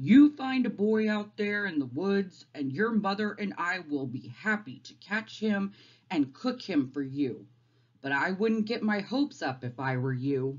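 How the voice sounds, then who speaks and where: This put-on character voice is gruff and sits at a middle pitch, with very wide pitch swings. The pace is moderate. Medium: read story. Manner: gruff, barking.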